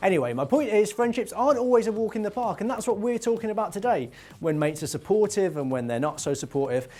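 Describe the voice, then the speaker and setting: With a Birmingham accent, a man talks at a very fast pace and a high pitch, his voice making very wide pitch swings. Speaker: youth talk show host. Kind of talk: casual chat. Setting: studio.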